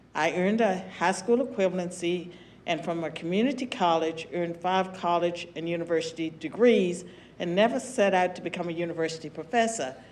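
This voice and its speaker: Noticeable background noise sits behind a woman with an American accent. She talks at a fairly quick pace with a fairly low pitch and ordinary pitch variation. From US South, southwestern Virginia. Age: 70s. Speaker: former political science professor and commentator. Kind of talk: panel discussion.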